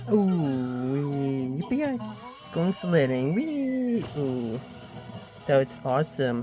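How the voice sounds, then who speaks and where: A cartoonish character voice at a low-to-middle pitch, spoken at a very slow pace with long, frequent pauses. Clear music plays in the background. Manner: excitable, silly.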